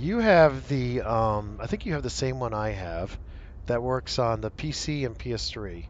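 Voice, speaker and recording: Speaking at a moderate pace, a man talks with a northeastern US accent. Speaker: gaming streamer. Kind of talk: casual chat. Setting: live stream with headset.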